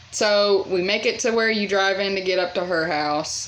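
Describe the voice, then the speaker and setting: A woman at a fairly slow pace with ordinary pitch variation, amid noticeable background noise. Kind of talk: casual story time talk to camera. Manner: chatty.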